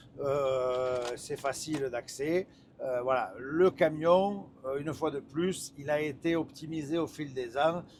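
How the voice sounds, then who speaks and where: Speaking at a very slow pace, a man uses a fairly high pitch and fairly even intonation. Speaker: truck test driver and reviewer. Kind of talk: live driving review commentary. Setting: in a truck cab while driving. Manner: hesitant, many fillers and repetitions.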